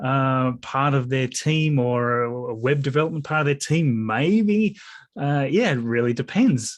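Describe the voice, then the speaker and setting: Quiet background, a man with an Australian accent and a fairly high pitch, at a fairly slow pace and very even loudness. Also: ordinary pitch variation. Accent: Australian, noticeable to many. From Tasmania, Australia. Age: 40s. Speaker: YouTuber and computer programmer. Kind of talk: interview. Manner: hesitant, many fillers.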